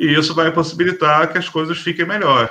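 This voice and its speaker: This man's voice sits fairly high for a man and carries vocal fry. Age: 40s. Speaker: bushcraft group leader. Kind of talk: casual chat. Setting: live stream.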